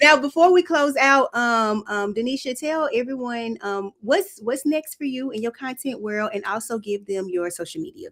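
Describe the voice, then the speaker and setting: A woman's high-pitched, animated voice with a Southern accent, moderate pace, lively intonation and hardly any pauses. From Mississippi. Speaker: podcast host. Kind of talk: casual chat.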